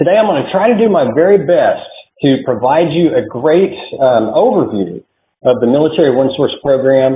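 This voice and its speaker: A man with a slight Oklahoma accent, fairly high in pitch, with lively intonation, very even loudness, a moderate pace and long, frequent pauses. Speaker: military support program consultant. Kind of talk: online presentation. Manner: hesitant, many fillers.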